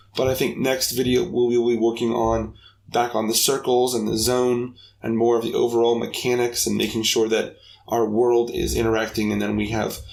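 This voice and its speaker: There is audible room echo. It rings around a man as he talks. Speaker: game development tutorial maker. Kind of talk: tutorial. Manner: casual, with filler words.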